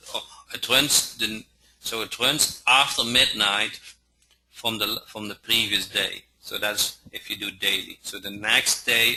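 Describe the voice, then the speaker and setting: Speaking at a fairly slow pace with a non-native accent, the voice makes big swings in loudness. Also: man. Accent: noticeable non-native pronunciation. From Netherlands. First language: Dutch. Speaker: software trainer. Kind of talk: training webinar. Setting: online webinar. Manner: halting, many fillers.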